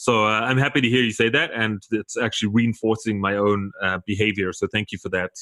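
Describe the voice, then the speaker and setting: With a South African accent, a man talks at a fairly quick pace with hardly any pauses, his fairly low voice bright and sharp in tone, his intonation fairly even, the sound dry and close with no echo. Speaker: podcast host. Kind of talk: interview conversation.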